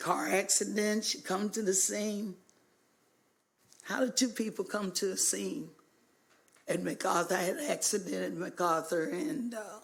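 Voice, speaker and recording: Vocal fry from a woman with an American accent, fairly slow in pace, broken by long, frequent pauses. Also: medium pitch for a woman, lively intonation. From US South, Hot Springs, Arkansas. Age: 60s. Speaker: public commenter at city council. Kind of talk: public comment speech. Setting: city council meeting.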